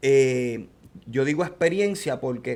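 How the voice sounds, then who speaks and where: Fairly high for a man, this plain, everyday voice shows ordinary pitch variation. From born outside US, Latin American. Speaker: podcast host. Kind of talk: interview.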